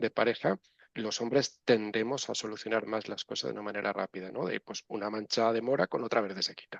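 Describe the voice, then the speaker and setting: At a moderate pace, a man with a medium-pitched voice is heard in a dry, close sound with no echo. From Spain, Valencia region. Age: 60s. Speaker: neuropsychologist and professor. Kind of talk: interview. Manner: animated.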